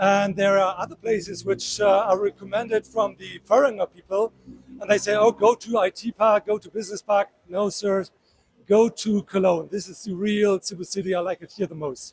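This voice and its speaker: Recorded dry and close with no echo, a man talks in a high pitch with fairly even intonation and big swings in loudness. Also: moderate pace. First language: German. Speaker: tourist. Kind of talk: street interview. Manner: halting.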